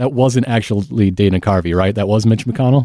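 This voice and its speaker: A man with an American accent speaks in a dark, mellow tone with ordinary pitch variation. The sound is dry and close with no echo, in a very clean recording with a silent background. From Michigan, US Midwest. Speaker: podcast host and history enthusiast. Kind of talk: casual chat.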